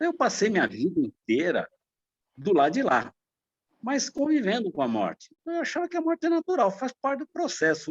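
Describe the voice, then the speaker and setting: With a dry, close sound and no echo, a man's extremely high pitch makes very wide swings at a moderate pace. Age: 60s. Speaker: church member, medical worker. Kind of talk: Sunday school class discussion.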